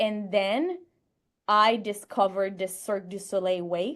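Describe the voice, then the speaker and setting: A woman speaks in a French Canadian accent. The background is quiet. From Quebec, Canada. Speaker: sports psychologist and creativity researcher. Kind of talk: podcast interview.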